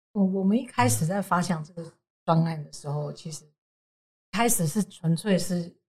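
Long, frequent pauses break up a somewhat breathy woman's speech, pitched fairly low with ordinary pitch variation. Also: moderate pace, big swings in loudness. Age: 40s. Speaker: advertising agency co-founder. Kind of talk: interview.

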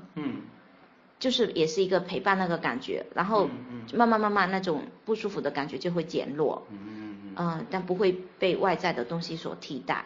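This woman talks at a moderate pace in a fairly low pitch, with very wide pitch swings and vocal fry. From Fuzhou, Fujian, China. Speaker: podcast guest sharing life story. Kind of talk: personal testimony in interview.

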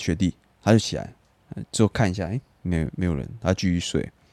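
Dry and close with no echo, a man with a Taiwanese accent speaks in a very deep, low pitch with lively intonation. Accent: Taiwanese Mandarin. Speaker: podcast co-host. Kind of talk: casual chat.

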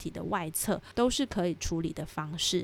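Over a silent background on a very clean recording, a woman in an unremarkable speaking voice talks at a moderate pace, her medium pitch showing ordinary variation. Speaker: podcast host, aromatherapy educator. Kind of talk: solo educational podcast. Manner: friendly, conversational.

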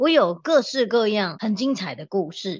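Her fairly high pitch swings very widely as this woman speaks. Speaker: organizing consultant and podcast host. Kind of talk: casual chat. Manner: animated.

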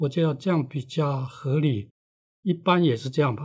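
A man's somewhat breathy, fairly high voice with ordinary pitch variation. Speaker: author and veteran editor. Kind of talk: interview. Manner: unhurried, leisurely; halting, with fillers.

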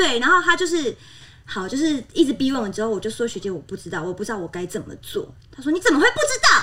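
A woman speaks in a raised, projected voice at a very fast pace, high-pitched, with a bright, sharp tone. Her tone is animated, with very wide pitch swings and big swings in loudness. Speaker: former flight attendant. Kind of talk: casual chat.

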